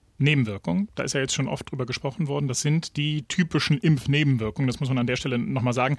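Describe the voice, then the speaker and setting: Here is a man with an ordinary speaking voice at medium pitch. His pitch variation is ordinary, and the background is quiet. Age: 40s. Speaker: radio news podcast host. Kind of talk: casual news discussion.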